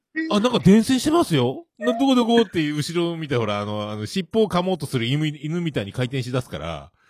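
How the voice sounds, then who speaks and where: Over music in the background, a man talks at a fairly quick pace with hardly any pauses, his fairly high voice making very wide pitch swings. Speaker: podcast host. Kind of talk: casual chat.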